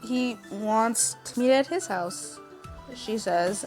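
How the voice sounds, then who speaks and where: A woman speaks with lively intonation and a fairly high pitch while music plays in the background. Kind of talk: story reading with commentary. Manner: loud, energetic.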